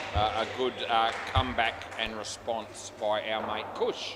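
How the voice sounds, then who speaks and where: A man with an Australian accent and a fairly low pitch, amid noticeable background noise. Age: 50s. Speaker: indoor cricket commentator. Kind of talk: live commentary. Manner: casual, chatty with frequent hesitations.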